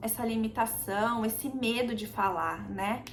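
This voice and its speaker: Her pitch fairly high, a woman speaks with vocal fry amid audible room echo. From Brazil. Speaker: immigrant vlogger. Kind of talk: casual chat. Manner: conversational, with hesitations.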